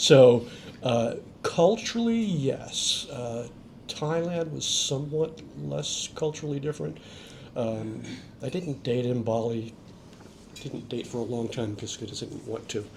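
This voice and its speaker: Through noticeable background noise, a man of medium pitch speaks at a fairly slow pace with lively intonation and long, frequent pauses. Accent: American. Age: 60s. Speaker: expat. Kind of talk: interview.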